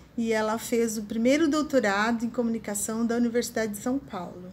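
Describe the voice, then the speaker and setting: A woman uses a normal speaking voice, pitched fairly high. Her intonation is fairly even. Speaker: interviewer, host. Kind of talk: interview introduction.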